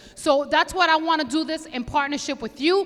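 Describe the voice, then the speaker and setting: In a Bronx accent, a woman projects a raised, high-pitched voice with an animated tone. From New York City, the Bronx. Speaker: police commander. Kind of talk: community meeting address. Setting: community board meeting with audience. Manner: loud.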